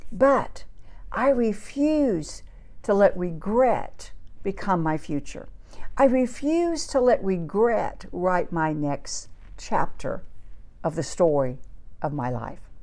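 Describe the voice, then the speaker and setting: In a room with audible echo, a woman speaks at a very slow pace with long, frequent pauses, her fairly high voice dark and mellow in tone and swinging very widely in pitch. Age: 60s. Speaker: faith-based financial coach. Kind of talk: inspirational teaching.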